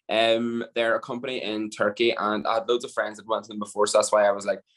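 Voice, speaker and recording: In a Northern Irish accent, a man talks very fast at a medium pitch. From Northern Ireland. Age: 20s. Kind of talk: podcast interview answer. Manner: casual.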